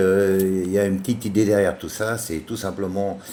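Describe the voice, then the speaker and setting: In a Parisian accent, a man speaks at a fairly low pitch and a moderate pace with monotone, flat intonation. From France, Paris. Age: 50s. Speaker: chef and children's book author. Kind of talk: book presentation. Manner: halting, many fillers; casual.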